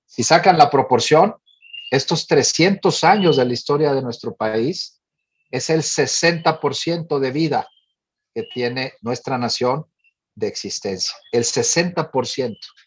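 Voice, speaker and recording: A somewhat breathy man's voice, fairly high in pitch, with ordinary pitch variation and a fairly slow pace. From northern Mexico, Monterrey. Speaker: director of a family advocacy organization. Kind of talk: forum talk. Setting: panel forum.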